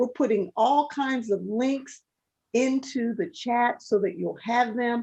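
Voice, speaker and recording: Against a quiet background, a woman talks at a very slow pace with ordinary pitch variation. Her voice is high, with a dark, mellow tone. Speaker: webinar moderator. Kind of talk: webinar moderation. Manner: animated.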